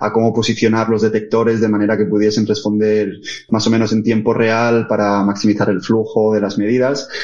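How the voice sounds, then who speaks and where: Over noticeable background noise, a man at a medium pitch talks at a fairly quick pace. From Asturias, Spain (Oviedo). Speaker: tech business lead, physicist. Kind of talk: interview conversation.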